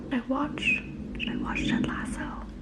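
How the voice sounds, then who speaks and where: Whispering comes through noticeable background noise. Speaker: book vlogger. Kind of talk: casual vlog narration.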